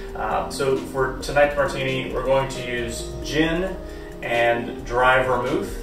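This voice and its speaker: There is audible room echo around a man's voice. Clear music plays in the background. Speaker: home bartender demonstrating cocktails. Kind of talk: tutorial. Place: home room. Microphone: camera far.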